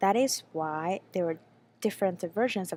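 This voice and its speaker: Someone with a Chinese accent speaks at a moderate pace. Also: woman. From China. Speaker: graduate student researcher. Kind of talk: conference presentation. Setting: pre-recorded video for a panel. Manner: hesitant, with frequent fillers.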